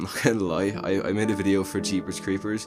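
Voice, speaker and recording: With music in the background, a man speaks at a moderate pace in a very deep, low pitch. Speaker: movie reviewer. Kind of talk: casual talk to camera.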